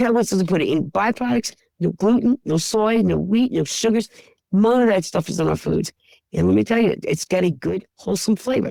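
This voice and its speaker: A woman's medium-pitched voice with vocal fry and a dark, mellow tone, fairly quick pace, ordinary pitch variation, very even loudness, and dry, close sound free of echo. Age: 60s. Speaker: pet food store owner. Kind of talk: interview. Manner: emotional, conversational.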